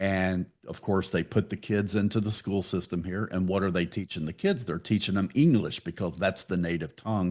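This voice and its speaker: A man with a Texan accent speaks in a very deep, low voice with hardly any pauses against a quiet background. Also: fairly even intonation, moderate pace. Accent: Texan American. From Texas, Pasadena. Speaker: podcast host. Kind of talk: casual interview chat.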